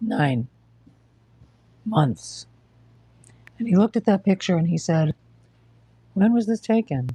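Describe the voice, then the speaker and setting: A woman with an American accent speaks at a fairly slow pace, with long, frequent pauses and lively intonation. Her voice is fairly low in pitch, somewhat breathy, with a dark, mellow tone. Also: dry, close sound with no echo. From New York. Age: 60s. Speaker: livestreamer with cancer. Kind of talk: casual livestream chat. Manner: halting.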